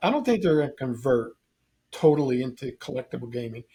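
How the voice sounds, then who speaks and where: Fairly quick speech from a man, somewhat breathy, with a dark, mellow tone. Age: 70s. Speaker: game store owner. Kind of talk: casual chat.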